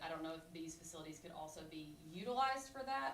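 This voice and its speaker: A woman's fairly low voice at a very fast pace, with noticeable background noise and audible room echo. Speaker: community member presenting to committee. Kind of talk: presentation at public meeting. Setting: county committee meeting.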